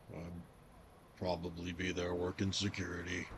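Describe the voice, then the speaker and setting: Using a put-on character voice, a man speaks at a moderate pace with a very deep, low pitch and monotone, flat intonation over clear background noise. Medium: actual play. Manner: casual, wry.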